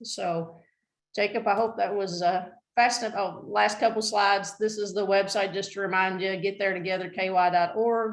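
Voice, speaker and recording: A woman at a moderate pace, monotone and flat, with audible room echo. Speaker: transportation planner presenting. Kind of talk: presentation at a meeting.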